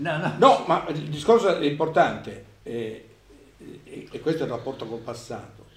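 Delivery is at a moderate pace with lively intonation, big swings in loudness, and long, frequent pauses. Noticeable background noise is audible. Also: man, fairly high pitch for a man. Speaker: philosophy professor and author. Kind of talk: book presentation talk and discussion.

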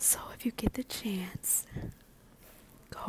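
The speaker whispers at a very slow pace. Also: woman. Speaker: ASMR podcaster and medical assistant. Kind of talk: ASMR whispering. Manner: whispering, soft-spoken; nervous.

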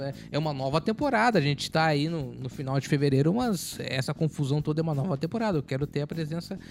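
A man's fairly high voice races by at a very fast clip. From Porto Alegre, southern Brazil. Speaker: podcast guest. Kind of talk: casual chat.

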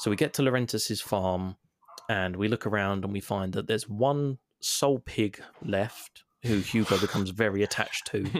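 A speaker with a London accent talks at a moderate pace with ordinary pitch variation. The sound is dry and close, with no echo. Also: man, fairly low pitch for a man. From London, England. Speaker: podcast co-host, former game reviewer. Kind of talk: casual chat.

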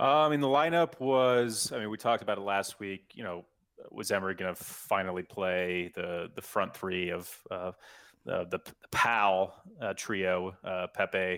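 A man with a plain, everyday voice speaks at a moderate pace, his fairly low pitch carried by lively intonation. The recording is very clean, with a silent background. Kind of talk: casual chat. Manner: conversational, analytical.

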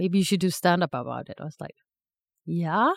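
A woman's fairly low voice in a Swedish accent, with ordinary pitch variation and a moderate pace. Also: dry, close sound with no echo. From Sweden, Stockholm. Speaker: aspiring stand-up comedian. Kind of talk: casual chat. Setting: studio.

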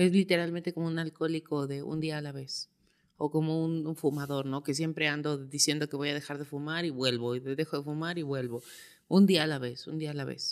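On a very clean recording with a silent background, a woman with a very deep, low pitch speaks at a fairly quick pace with fairly even intonation. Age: 30s. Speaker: physical anthropologist. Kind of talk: casual chat.

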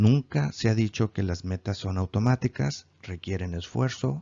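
A man talks at a very slow pace. His fairly low voice has lively intonation. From Mexico, Mazatlán (Sinaloa). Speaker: self-help coach. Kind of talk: self-help course lesson.

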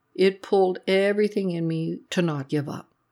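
Very clean recording with a silent background: a woman, an ordinary speaking voice, fairly slow pace, ordinary pitch variation. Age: 60s. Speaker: trauma therapist. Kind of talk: personal narrative monologue. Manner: reflective.

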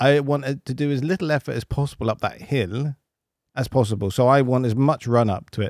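Recorded very cleanly against a silent background, a man with a British accent talks at a fairly quick pace. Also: medium pitch for a man, ordinary pitch variation, dry, close sound with no echo. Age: 40s. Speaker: podcast host. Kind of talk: casual chat.

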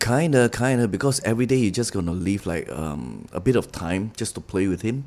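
Delivered in a normal speaking voice, the speech moves at a fairly quick pace with lively intonation. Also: man, fairly low pitch for a man. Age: 30s. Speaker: actor. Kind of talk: casual chat.

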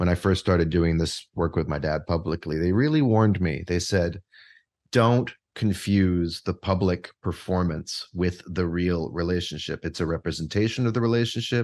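Against a quiet background, a man with a Canadian accent speaks at a moderate pace in a very deep, low pitch, which varies in an ordinary way. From Canada, Vancouver. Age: 40s. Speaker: composer and co-author. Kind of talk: interview conversation.

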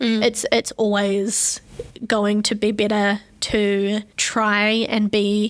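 A woman speaks in a fairly high pitch. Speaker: podcast co-host. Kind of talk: casual chat. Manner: fast; animated.

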